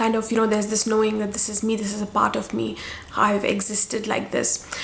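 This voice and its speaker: Through noticeable background noise, a woman talks at a fairly quick pace and a fairly high pitch. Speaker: spiritual guide. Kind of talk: casual talk to camera. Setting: at home. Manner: hesitant, many fillers.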